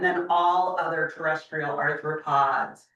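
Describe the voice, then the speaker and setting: Loud and very slow, a woman talks at a fairly low pitch in a bright, sharp tone. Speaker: professor. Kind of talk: lecture.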